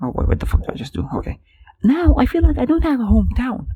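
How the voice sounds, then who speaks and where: The speaker is a man. He has a non-native accent. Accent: non-native English, easy to tell. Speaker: podcaster. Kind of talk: casual solo podcast monologue. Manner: animated, frustrated rant.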